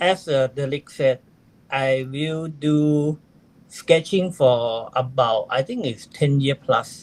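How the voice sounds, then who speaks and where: Very slowly, a man with a Thai accent speaks at a fairly high pitch with ordinary pitch variation. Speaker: amateur astronomer, astro-sketcher. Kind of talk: interview. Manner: halting, broken English.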